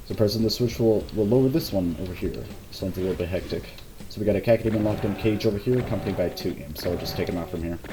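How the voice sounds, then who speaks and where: A man's fairly low voice at a very fast pace, with ordinary pitch variation, audible room echo and noticeable background noise. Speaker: game level designer giving commentary. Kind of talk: gameplay walkthrough commentary. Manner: halting, repeats words.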